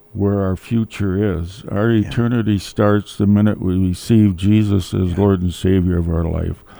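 Fairly even intonation from a man speaking fairly slowly. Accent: Upper Midwest. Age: 70s. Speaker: widower sharing faith story. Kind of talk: testimony. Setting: studio.

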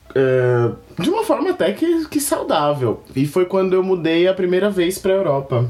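A man talks at a fairly slow pace while noticeable background noise carries on behind him. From São Paulo, Brazil. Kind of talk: casual chat.

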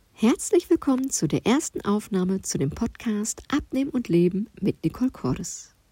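A woman speaks at a moderate pace with lively intonation and a dark, mellow tone. Her voice is somewhat breathy, and the sound is dry and close with no echo. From Ruhr area, Germany. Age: 40s. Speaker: nutrition coach. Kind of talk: podcast self-introduction monologue. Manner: chatty, informal.

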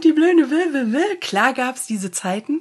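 With very wide pitch swings, a woman speaks in a somewhat breathy voice. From Germany. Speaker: coach and podcast host. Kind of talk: interview.

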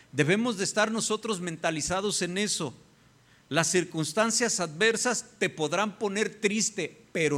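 With ordinary pitch variation, a man talks fairly slowly. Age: 50s. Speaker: pastor. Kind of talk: sermon.

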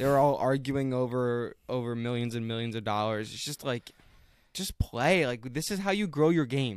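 A man's normal speaking voice at a moderate pace, medium in pitch with ordinary pitch variation, on a very clean recording with a silent background. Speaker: sports podcast co-host, student. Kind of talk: casual chat.

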